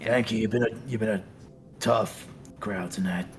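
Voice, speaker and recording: A man puts on a raspy character voice of medium pitch with fairly even intonation. He talks at a moderate pace against clear background noise. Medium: actual play. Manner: casual, cocky.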